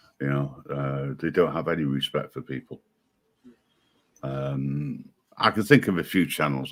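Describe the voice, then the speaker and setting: The speaker has a British accent and talks at a moderate pace with fairly even intonation and long, frequent pauses. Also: man. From Britain. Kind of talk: casual chat. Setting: live stream. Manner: hesitant, many fillers.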